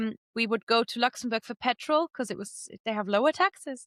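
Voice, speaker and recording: A woman with a German accent speaks at a fairly high pitch and a fairly quick pace. The recording is very clean with a silent background and a dry, close sound with no echo. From Germany, Moselle Valley. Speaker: polyglot, language teacher and podcaster. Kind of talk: podcast interview.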